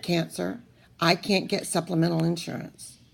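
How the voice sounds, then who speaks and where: The pace is fairly slow. A woman is the one speaking. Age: 60s. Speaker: cancer patient vlogger. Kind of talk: personal video diary.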